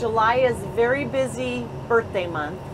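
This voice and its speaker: Noticeable background noise runs under a woman whose pitch swings very widely. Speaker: travel vlogger. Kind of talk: casual vlog chat. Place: car. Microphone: phone near.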